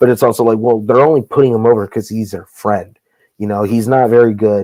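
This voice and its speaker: A quiet man talks at a fairly quick pace. His tone is dark and mellow, and his intonation stays fairly even. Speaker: wrestling promoter. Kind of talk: casual podcast interview. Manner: speaking low, quiet; candid, heated.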